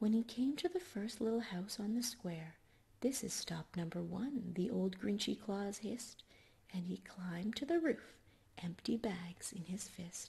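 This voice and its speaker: A soft-spoken woman talks at a fairly slow pace in a soothing, dark, mellow tone that is somewhat breathy. Her intonation is lively. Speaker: ASMR storyteller. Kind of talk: bedtime story reading for ASMR. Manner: soft-spoken, soothing. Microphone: studio mic.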